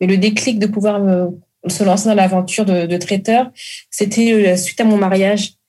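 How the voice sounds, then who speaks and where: At a moderate pace, a somewhat breathy woman speaks at medium pitch with fairly even intonation. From Congo-Brazzaville. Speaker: caterer and food entrepreneur. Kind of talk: interview.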